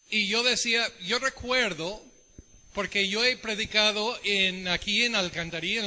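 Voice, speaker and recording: At a fairly slow pace, a man speaks in a raised, projected voice with ordinary pitch variation. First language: English (speaking Spanish). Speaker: visiting preacher, Bible teacher. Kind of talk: sermon. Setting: church service.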